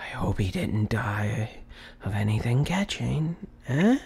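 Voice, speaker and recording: Putting on a raspy character voice, a man speaks at a medium pitch and fairly slow pace with lively intonation. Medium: read story.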